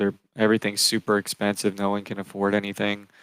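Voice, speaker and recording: A man speaks at a fairly low pitch with monotone, flat intonation. The recording is very clean, with a silent background and a dry, close sound with no echo. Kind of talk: live stream commentary on news. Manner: fast.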